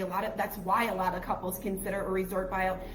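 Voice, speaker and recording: A woman talks over noticeable background noise with audible room echo. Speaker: travel agent podcast co-host. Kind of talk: casual chat. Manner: quieter than usual.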